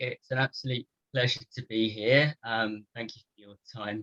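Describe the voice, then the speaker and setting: A British accent at a moderate pace, with a dry, close sound and no echo. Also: man. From United Kingdom. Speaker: physiotherapist. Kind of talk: lecture.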